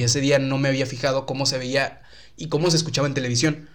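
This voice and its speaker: This man talks. His pace is very fast. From Mexico, Tampico (Tamaulipas). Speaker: YouTube content creator. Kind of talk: casual chat.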